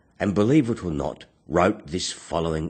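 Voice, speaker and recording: Against a quiet background, a man with a very deep, low voice and vocal fry speaks at a fairly slow pace. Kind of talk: spoken word poetry / philosophical monologue.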